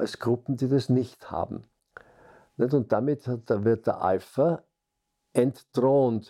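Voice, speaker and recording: A man speaks at a very slow pace with a medium pitch and a dark, mellow tone. The background is quiet. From Austria, Vienna. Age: 80s+. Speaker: social scientist, group dynamics scholar. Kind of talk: interview, life story.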